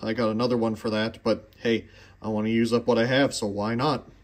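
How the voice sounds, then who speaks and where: A man at a fairly quick pace. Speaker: collector vlogger. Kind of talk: casual vlog chat. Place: workshop. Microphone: phone near.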